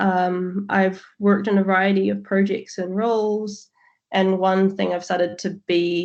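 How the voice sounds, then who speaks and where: Against a quiet background, a woman with a New Zealand accent speaks fairly slowly at a medium pitch in a monotone, flat intonation. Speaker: QA manager, presenter. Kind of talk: presentation.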